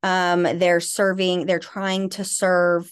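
A woman's unremarkable speaking voice, medium in pitch, with an American accent and a fairly slow pace. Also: quiet background. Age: 40s. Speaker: author and trauma recovery expert. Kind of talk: interview about personal abuse history.

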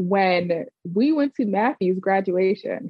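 A woman with a medium-pitched, unremarkable speaking voice and lively intonation. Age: 30s. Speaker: host's cousin, hosts own story segment. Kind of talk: casual chat.

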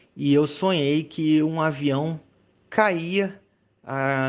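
A man's fairly high-pitched voice. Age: 40s. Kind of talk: recorded personal account. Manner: halting.

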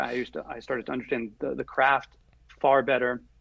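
A fairly quick American accent with fairly even intonation and an ordinary speaking voice. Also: man. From US Northeast, Rhode Island (Providence). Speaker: screenwriter and filmmaker. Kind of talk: interview, live stream Q&A.

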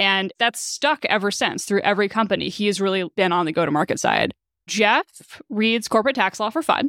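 An unremarkable speaking voice with lively intonation holds a very even loudness on a very clean recording with a silent background. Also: woman, medium pitch for a woman, dry, close sound with no echo. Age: 30s. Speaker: startup co-founder and CTO. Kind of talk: interview.

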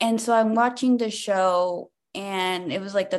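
Over a quiet background, a woman with an American accent and a plain, everyday voice speaks at a moderate pace with ordinary pitch variation. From Compton, California. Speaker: stand-up comedian. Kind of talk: casual interview chat.

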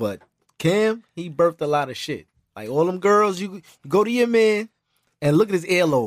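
A man with an American accent, high in pitch, at a moderate pace, with lively intonation, long, frequent pauses and big swings in loudness. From Brooklyn, New York. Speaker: clothing designer. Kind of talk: casual chat.

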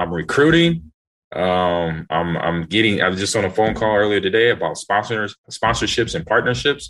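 Against a quiet background, a man with an American accent and an unremarkable speaking voice talks with lively intonation at a fairly low pitch. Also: moderate pace. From Los Angeles. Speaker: retired football player. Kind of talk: casual chat.

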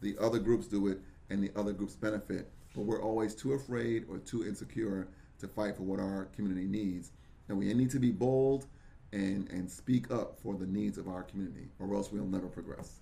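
A man with an American accent has an ordinary speaking voice at a fairly low pitch. He talks at a fairly quick pace with ordinary pitch variation. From Brooklyn, New York. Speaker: local politician. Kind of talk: interview.

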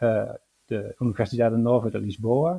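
A man is speaking. He has a Dutch accent. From Netherlands. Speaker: historian. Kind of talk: interview. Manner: hesitant, with fillers.

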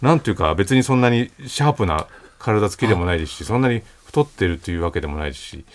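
Very wide pitch swings run through a man's fairly low-pitched voice as he talks at a very fast pace. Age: 40s. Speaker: writer and radio host. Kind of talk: casual chat. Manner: measured, articulate.

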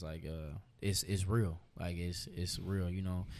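The voice has a dark, mellow tone and an American accent, going at a moderate pace. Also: man. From Texas, Austin. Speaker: rapper. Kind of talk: casual chat.

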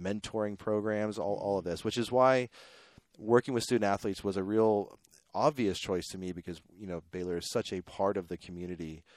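The speaker has an American accent and a fairly quick pace, with ordinary pitch variation and big swings in loudness. The sound is dry and close, with no echo. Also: man, fairly low pitch for a man, quiet background. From Pittsburgh, Pennsylvania. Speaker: startup organization executive. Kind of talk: interview. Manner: halting, many fillers.

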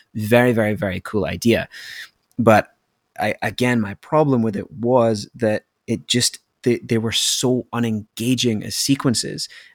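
The speech comes at a fairly slow pace with fairly even intonation. The sound is dry and close, with no echo. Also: man, medium pitch for a man. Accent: Scottish. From Scotland. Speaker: podcast guest, gamer. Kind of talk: casual chat.

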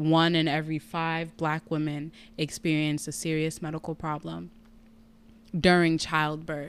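A woman with an American accent, very deep and low in pitch, at a fairly slow pace with monotone, flat intonation, on a very clean recording with a silent background. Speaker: patient sharing health story. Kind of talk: personal testimony in casual interview.

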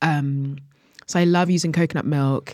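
The woman's voice is very deep and low. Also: very clean recording, silent background. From Jamaica, moved to UK at nine. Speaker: chef and cookbook author. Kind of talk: casual interview.

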